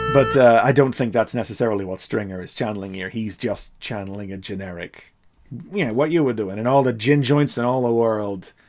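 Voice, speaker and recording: A man speaks with a Derry accent. His pitch variation is ordinary. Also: medium pitch for a man, big swings in loudness. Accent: Northern Irish (Derry). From Northern Ireland, Derry. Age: 40s. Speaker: podcast co-host. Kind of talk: casual chat. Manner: animated.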